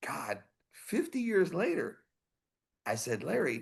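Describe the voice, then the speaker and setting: A man at a very slow pace, with vocal fry. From Texas. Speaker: heavy metal singer. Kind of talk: casual interview chat. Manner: animated.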